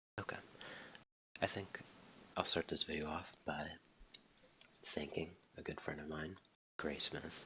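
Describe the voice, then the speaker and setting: Soft-spoken and fairly slow, the speaker leaves long, frequent pauses. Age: 20s. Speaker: YouTuber. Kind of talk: casual vlog monologue. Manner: quiet, soft-spoken; halting with many repetitions.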